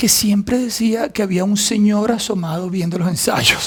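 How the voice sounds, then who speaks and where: Over noticeable background noise, a man talks at a fairly slow pace in a high pitch with ordinary pitch variation. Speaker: actor. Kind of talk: casual talk to camera.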